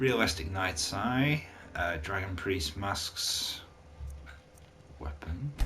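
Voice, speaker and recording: Very deep, low male speech with audible room echo and noticeable background noise. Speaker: gaming YouTuber reviewing mods. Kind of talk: casual commentary reviewing mods. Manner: halting, many filler uhs.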